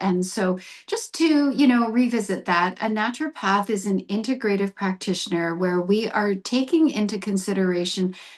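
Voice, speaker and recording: An unremarkable speaking voice with a Canadian accent, lively intonation and a moderate pace. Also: woman. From Canadian prairies (Brandon, Manitoba). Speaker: naturopathic doctor. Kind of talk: interview.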